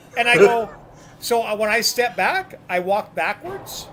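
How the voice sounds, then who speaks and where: A man with a Canadian accent raises and projects his high-pitched voice. Noticeable background noise runs behind him. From New Brunswick, Canada. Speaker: bowler. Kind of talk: casual chat.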